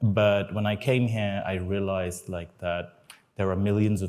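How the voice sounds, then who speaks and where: The voice is a man's, very deep and low. He talks at a moderate pace. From India, moved to UK as teenager. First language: not English (Indian language). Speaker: startup founder. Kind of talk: panel discussion.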